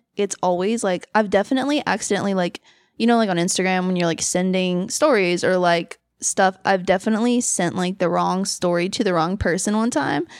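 With a plain, everyday voice, a woman speaks at a fairly quick pace and medium pitch, with ordinary pitch variation, in a dry, close sound with no echo on a very clean recording with a silent background. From Los Angeles, California. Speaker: event hostess and former film worker. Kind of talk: casual chat. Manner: giggly, filler-heavy.

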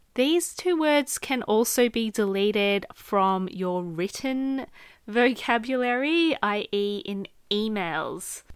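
The speaker has an Australian accent and lively intonation. Delivery is very slow, in a very clean recording with a silent background. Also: woman, fairly high pitch for a woman. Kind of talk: solo podcast monologue, advice. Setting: recording studio / home podcast setup.

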